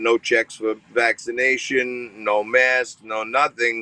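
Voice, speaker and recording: A man with a strong New York accent and medium pitch. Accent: thick New York. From New York, Staten Island. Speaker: TV host and finance commentator. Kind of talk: interview.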